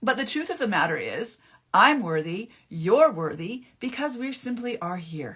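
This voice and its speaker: This woman's pitch swings very widely. Her pace is fairly slow. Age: 50s. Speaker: naturopathic author and mental health speaker. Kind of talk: live stream talk. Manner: casual with false starts.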